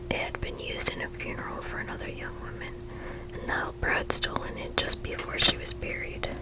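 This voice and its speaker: Someone whispers at a fairly quick pace, with noticeable background noise. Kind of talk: ASMR story reading. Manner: whispered.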